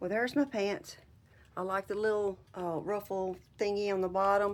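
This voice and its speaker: A woman speaks at a medium pitch with a Southern US accent. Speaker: upcycling YouTuber. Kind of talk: casual craft tutorial. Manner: casual, chatty.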